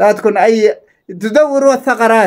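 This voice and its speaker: A man's high-pitched voice in an animated tone. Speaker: social media content creator. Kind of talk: angry rant to followers.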